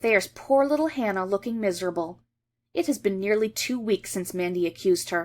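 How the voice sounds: A natural reading voice set against a quiet background.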